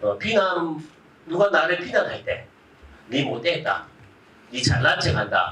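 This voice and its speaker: Fairly slow speech in a strong Gyeongsang accent, with noticeable background noise. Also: man. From Gyeongsang, South Korea. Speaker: Buddhist monk giving a public lecture. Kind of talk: public lecture with audience interaction. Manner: animated, conversational.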